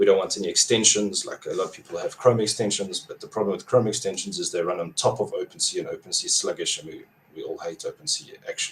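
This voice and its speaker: A man with a South African accent at a very fast pace. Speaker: crypto app developer. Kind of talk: podcast interview.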